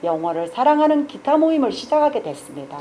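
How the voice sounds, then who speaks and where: Her tone animated, a woman speaks fairly quickly with very wide pitch swings. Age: 60s. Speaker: shop owner and guitar club organizer. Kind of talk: project pitch presentation.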